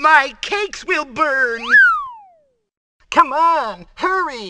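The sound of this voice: Using a put-on character voice, a woman speaks very slowly at a high pitch with lively intonation and a bright, sharp tone.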